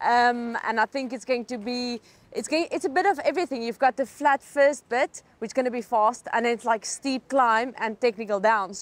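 High-pitched speech from a woman at a moderate pace, with ordinary pitch variation and hardly any pauses. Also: dry sound with no echo. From South Africa. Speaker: triathlete. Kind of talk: interview. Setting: at a race venue. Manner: halting, many fillers. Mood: cheerful, relaxed. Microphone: lapel.

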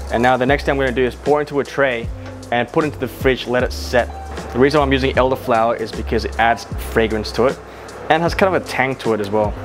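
Over clear background music, the voice runs at a very fast pace in an upbeat tone with very wide pitch swings. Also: man, medium pitch for a man. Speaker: chef; cooking host. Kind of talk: casual cooking tutorial talk to camera. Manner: casual, upbeat. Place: kitchen. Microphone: lapel.

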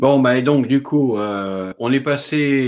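A man's voice over a quiet background. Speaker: live video host. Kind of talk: live-streamed interview. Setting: online video livestream. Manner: chatty, a bit flustered by tech problems. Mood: amused, smiling. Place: home room. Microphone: video call.

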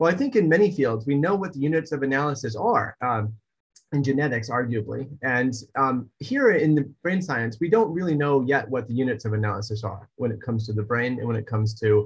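A man talks at a fairly quick pace in a somewhat breathy voice. The background is quiet. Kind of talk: lecture. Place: home room. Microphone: webcam.

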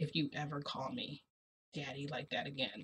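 A raspy, put-on character voice sits at a low-to-middle pitch and moves at a moderate pace. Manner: stern.

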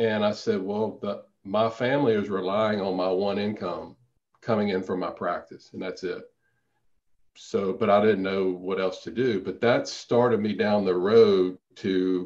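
Speaking at a fairly slow pace, a man with a fairly low pitch and a Louisiana accent keeps his intonation fairly even. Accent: Southern US (Louisiana). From Louisiana, small town. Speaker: periodontist and real estate investor. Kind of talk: interview.

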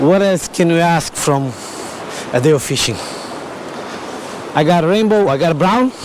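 Over clear background noise, a man speaks at a fairly slow pace in a fairly high pitch with ordinary pitch variation.

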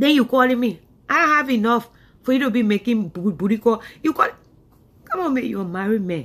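The tone is animated, with lively intonation and a fairly quick pace. Long pauses come often. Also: woman. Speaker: comedian. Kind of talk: comedy skit monologue. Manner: animated, scolding. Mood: drowsy, annoyed, mocking. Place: home room. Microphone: earbuds.

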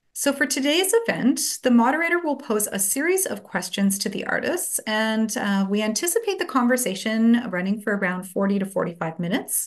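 Delivered at a moderate pace, the speech sits over a quiet background. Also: woman. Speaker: event host from gallery. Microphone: video call.

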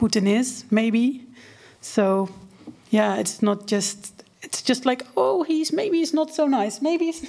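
A woman with a fairly high voice speaks at a very slow pace. Her intonation is lively. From Netherlands. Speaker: journalist. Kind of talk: panel discussion. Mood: engaged, animated. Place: hall. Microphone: podium.

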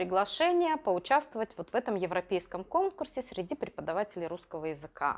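A woman speaks at a medium pitch. She has a normal speaking voice. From Russia, Urals (Magnitogorsk); Russia. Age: 50s. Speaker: Russian language teacher for children. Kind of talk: interview. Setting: classroom. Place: classroom. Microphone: lapel.

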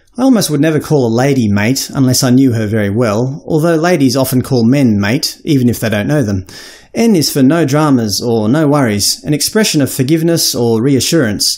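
This man speaks with an Australian accent and hardly any pauses. His loudness stays very even on a very clean recording with a silent background. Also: medium pitch for a man, lively intonation, fairly quick pace. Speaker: educator working with international students. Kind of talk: educational explainer to camera.

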